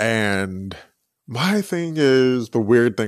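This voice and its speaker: A man speaks with lively intonation. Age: 20s. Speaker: podcast host. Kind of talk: solo casual commentary. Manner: conversational, halting with fillers.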